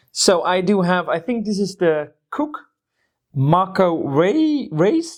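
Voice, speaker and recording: A woman speaks at a very slow pace with long, frequent pauses, her medium-pitched voice swinging very widely in pitch against a quiet background. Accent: non-native. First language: not English. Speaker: board game youtuber. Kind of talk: casual chat with reading aloud.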